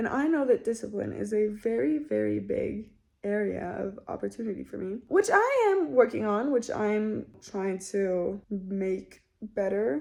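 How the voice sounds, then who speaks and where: Here a woman talks with a Spanish accent. Her pace is fairly slow, with hardly any pauses. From Mexico City. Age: 20s. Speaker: content creator. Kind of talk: casual vlog monologue. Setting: in her bedroom.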